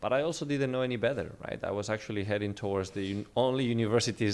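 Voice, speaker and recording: A man with a Spanish accent speaks at a very fast pace with ordinary pitch variation in a very clean recording with a silent background. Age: 20s. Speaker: real estate entrepreneur. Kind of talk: interview.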